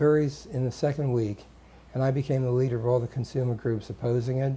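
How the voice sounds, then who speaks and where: A man with an American accent speaks at a very fast pace, his pitch medium. His tone is dark and mellow, and somewhat breathy. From New York City (Staten Island). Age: 60s. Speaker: political candidate. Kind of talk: interview. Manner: halting, with frequent fillers.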